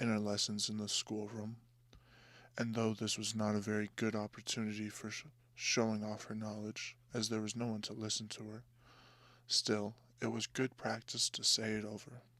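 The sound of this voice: A soft-spoken man's fairly low voice, bright and sharp in tone, flat and monotone in intonation, at a moderate pace, on a very clean recording with a silent background.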